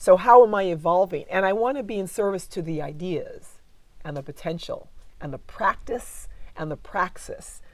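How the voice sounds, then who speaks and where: Loudness swings widely as a woman talks at a moderate pace. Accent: American. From United States. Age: 60s. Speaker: cultural geographer. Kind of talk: interview conversation. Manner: reflective, halting.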